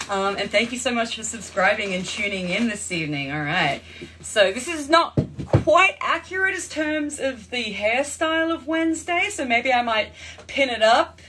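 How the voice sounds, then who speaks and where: Against noticeable background noise, a woman with an Australian accent speaks at a moderate pace in a high pitch with very wide pitch swings. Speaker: actress and filmmaker, livestream host. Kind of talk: casual livestream chat.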